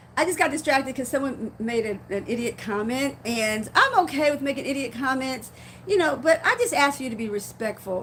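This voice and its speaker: Over noticeable background noise, a woman projects a raised voice, high-pitched with lively intonation. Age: 50s. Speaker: faith-based vlogger. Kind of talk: casual live-stream talk. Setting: live stream, seated in rocking chair. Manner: fast; halting, repeats words.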